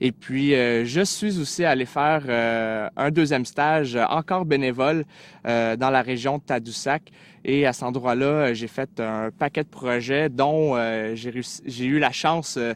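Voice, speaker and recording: Man at a medium pitch with ordinary pitch variation, against a quiet background. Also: fairly slow pace. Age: 20s. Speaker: volunteer sharing his experience. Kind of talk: testimony. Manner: halting, many filler sounds.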